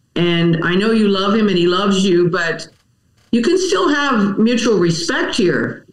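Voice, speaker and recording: A woman with an ordinary speaking voice and an American accent talks at a medium pitch and a fairly slow pace. Her intonation is lively while her loudness stays very even. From Wisconsin, US Midwest. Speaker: dog groomer and trainer. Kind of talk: casual interview chat.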